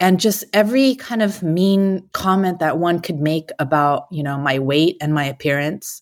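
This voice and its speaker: A woman with an American accent talks at a moderate pace in a fairly low pitch with ordinary pitch variation. The recording is very clean, with a silent background. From US West Coast, San Francisco Bay Area. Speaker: self-defense coach. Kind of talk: interview, personal story.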